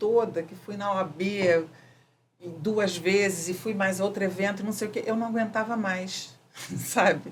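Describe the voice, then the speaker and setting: A woman speaks at a fairly slow pace. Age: 60s. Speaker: architect working in neuroarchitecture. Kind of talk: interview answer. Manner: casual, conversational.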